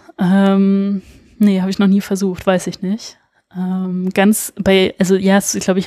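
A woman speaks at a medium pitch. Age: 20s. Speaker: illustrator and tattoo artist. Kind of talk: casual interview.

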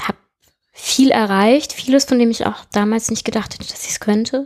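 The intonation is fairly even. The speaker is a woman. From southern Germany, small town. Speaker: web developer. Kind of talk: interview. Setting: at her home.

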